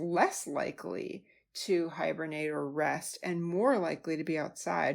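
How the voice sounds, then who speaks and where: Fairly slow pace from a woman with a Wisconsin accent, on a very clean recording with a silent background. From US Midwest, Wisconsin. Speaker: health coach podcast host. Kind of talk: podcast monologue. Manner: casual, conversational.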